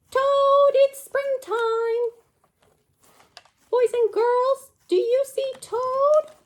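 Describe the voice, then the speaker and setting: A woman's squeaky, cartoonish character voice, extremely high in pitch, at a very slow pace with long, frequent pauses. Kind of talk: children's puppet show. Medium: puppet show. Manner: upbeat, eager.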